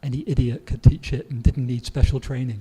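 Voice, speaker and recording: A man's somewhat breathy voice, medium in pitch and dark and mellow in tone, at a moderate pace. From southwest England. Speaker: grammar book author and English teacher. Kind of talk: Q&A interview. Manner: hesitant, with fillers and repetitions.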